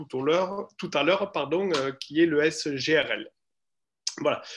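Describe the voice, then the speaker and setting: The background stays quiet. A man speaks very slowly, his pitch varying in an ordinary way. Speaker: university lecturer and researcher. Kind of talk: lecture. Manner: hesitant, many fillers.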